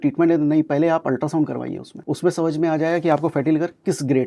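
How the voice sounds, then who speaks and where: A man with a fairly high pitch talks in a dark, mellow tone with monotone, flat intonation. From Kanpur, India. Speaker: homeopathic doctor. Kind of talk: radio interview answer, medical advice.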